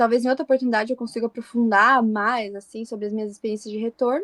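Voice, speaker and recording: A woman with an ordinary speaking voice and a fairly high pitch talks with fairly even intonation in a dry, close sound with no echo. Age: 20s. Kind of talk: podcast interview.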